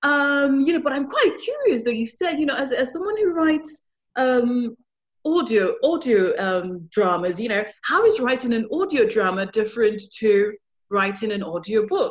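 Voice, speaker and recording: A woman speaks at a moderate pace in a high pitch. Her voice makes very wide pitch swings. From London, England. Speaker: podcast host. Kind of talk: casual chat, interview. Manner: chatty, upbeat, talkative.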